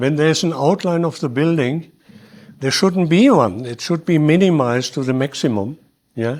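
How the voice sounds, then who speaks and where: A man speaks with a German accent. His pitch is fairly high and his intonation is lively. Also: moderate pace. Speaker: early community settler. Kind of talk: public talk interview. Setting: hall with audience. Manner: halting.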